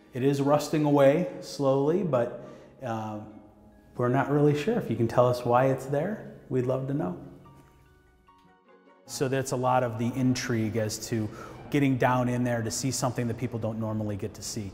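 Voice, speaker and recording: With faint music behind him and audible room echo, a man speaks at a moderate pace with ordinary pitch variation and long, frequent pauses. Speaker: monument guide. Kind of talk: interview answer. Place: tunnel cave. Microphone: lapel.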